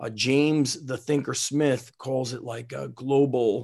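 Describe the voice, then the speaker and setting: A normal speaking voice from a man of medium pitch with an American accent, against a quiet background. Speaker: strength coach, podcast host. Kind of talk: casual chat. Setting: remote recording.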